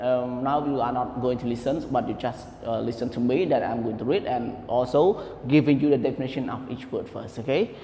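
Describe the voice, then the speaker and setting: A man is speaking at a moderate pace. Noticeable background noise can be heard. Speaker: English teacher. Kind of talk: online lesson. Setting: recorded online class.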